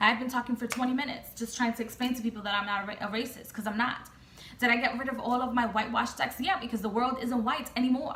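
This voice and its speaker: A woman with an American accent talks at a very fast pace in an animated tone, her voice high-pitched. Noticeable background noise sits behind her. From United States. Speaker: tarot reader and vlogger. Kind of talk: casual rant vlog. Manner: halting with repetitions.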